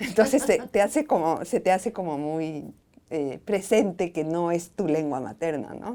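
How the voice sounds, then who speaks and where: A woman's dark, mellow voice, fairly slow and with lively intonation. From Ecuador, Quito. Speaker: writer and professor. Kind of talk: interview. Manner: hesitant, with fillers.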